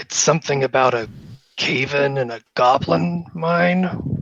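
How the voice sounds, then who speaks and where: Putting on a growling character voice, a man speaks at a fairly slow pace. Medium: actual play. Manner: gruff, plainspoken.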